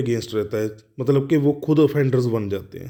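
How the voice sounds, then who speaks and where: Here a man with a Punjabi accent speaks at a fairly high pitch, with ordinary pitch variation. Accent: Punjabi-accented Hindi. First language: Punjabi (speaking Hindi). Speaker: law tutor. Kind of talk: lecture. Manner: halting, with fillers and restarts.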